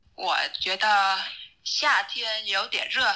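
Speaking with a Vietnamese accent, a woman uses a bright, sharp tone at a medium pitch. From Vietnam, Dong Nai province near Ho Chi Minh City. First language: Vietnamese (speaking Chinese). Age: 20s. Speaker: Chinese learner, podcast listener. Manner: halting, with many hesitations.

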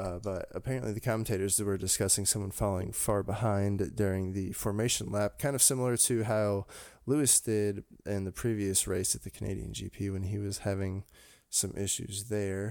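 A man's plain, everyday voice, fairly low in pitch, with fairly even intonation at a moderate pace, on a very clean recording with a silent background. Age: 20s. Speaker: motorsport podcast co-host. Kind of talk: casual chat.

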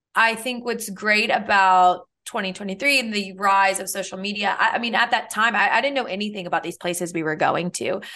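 A woman with an American accent, medium pitch, a bright, sharp tone, fairly even intonation and a moderate pace, against a quiet background. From US South, South Louisiana (New Orleans area). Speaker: podcast co-host. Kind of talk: casual chat.

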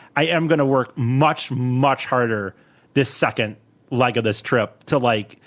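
In a normal speaking voice, a man speaks at a medium pitch with ordinary pitch variation and very even loudness. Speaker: podcast host comedian. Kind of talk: casual comedy podcast chat. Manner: fast talker.

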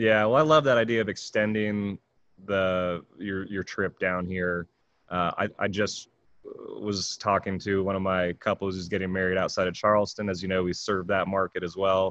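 A man with an American accent in an ordinary speaking voice, fairly low in pitch, at a moderate pace with fairly even intonation, the sound dry and close with no echo over a quiet background. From California. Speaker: podcast host, mobile bar owner. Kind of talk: casual chat.

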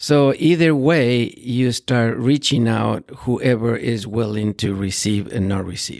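A man with a Spanish accent speaks at a medium pitch and a fairly slow pace, with ordinary pitch variation. The sound is dry and close with no echo, and the recording is very clean with a silent background. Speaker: pastor. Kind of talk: interview.

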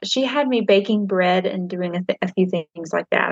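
Speaking at a fairly slow pace with ordinary pitch variation, a woman with a Southern US accent is heard in a dry, close sound with no echo. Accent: Southern US, twangy. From Nashville area, Tennessee. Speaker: author and pastor's wife. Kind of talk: casual interview chat. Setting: video call from home, kids nearby.

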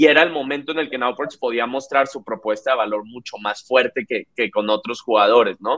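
At a moderate pace, a man speaks in a normal speaking voice, medium in pitch with ordinary pitch variation. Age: 20s. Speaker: startup founder and CEO. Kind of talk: interview.

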